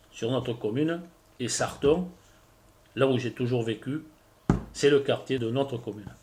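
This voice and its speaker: Somewhat breathy, a man talks fairly slowly at a medium pitch with ordinary pitch variation. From southwestern France, Landes. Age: 50s. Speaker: villager, fire witness. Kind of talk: interview testimony. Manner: halting, hesitant.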